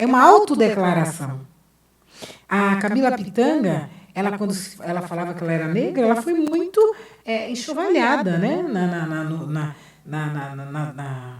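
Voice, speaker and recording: A woman speaks at a moderate pace and medium pitch, her voice making very wide pitch swings, with long, frequent pauses and audible room echo. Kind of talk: lecture and debate answer.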